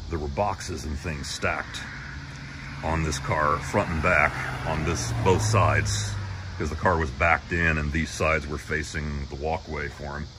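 There is noticeable background noise behind this voice. A man speaks with ordinary pitch variation. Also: moderate pace. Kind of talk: casual vlog chat. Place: street. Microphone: phone near.

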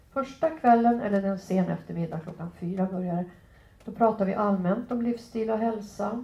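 In audible room echo, a woman with a dark, mellow, somewhat breathy tone speaks at a moderate pace with ordinary pitch variation. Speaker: physician and professor; professor. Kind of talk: lecture. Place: meeting room. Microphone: headset.

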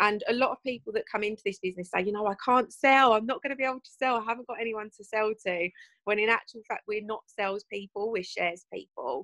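A woman with a British accent speaks very fast with hardly any pauses, her fairly high voice warm and upbeat yet bright and sharp in tone, with big swings in loudness against a quiet background. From England. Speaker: host of a network marketing presentation. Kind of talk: online business presentation hosting. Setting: video call. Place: home room. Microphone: video call.

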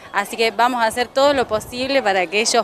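Over light background noise, in a dry sound with no echo, a woman with a fairly high pitch talks at a moderate pace with ordinary pitch variation. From Argentina. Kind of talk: interview. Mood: hopeful, warm. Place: open country. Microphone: handheld.

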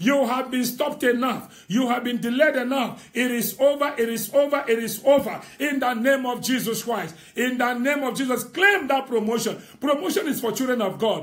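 A man's extremely high voice at a moderate pace, with ordinary pitch variation, hardly any pauses, and a quiet background. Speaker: prophet leading online prayer. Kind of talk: fervent prophetic prayer declaration over listeners. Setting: Facebook live stream. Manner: emphatic and rousing, urging listeners on. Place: home room. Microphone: phone near.

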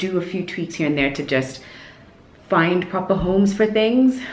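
A woman's voice with audible room echo. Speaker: lifestyle vlogger. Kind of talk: casual vlog chat. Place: home room. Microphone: phone near.

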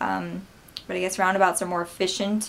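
A woman with an American accent speaks at a moderate pace. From Wisconsin, USA. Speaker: vlogger. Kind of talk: casual talk to camera. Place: home room. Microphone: webcam.

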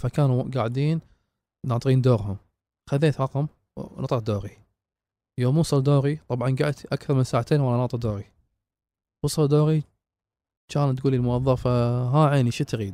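At a fairly quick pace yet with long, frequent pauses, a man with a dark, mellow tone speaks in fairly even intonation, recorded very cleanly with a silent background and a dry, close sound with no echo. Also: medium pitch for a man. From Kuwait. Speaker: traveler and explorer. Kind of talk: interview.

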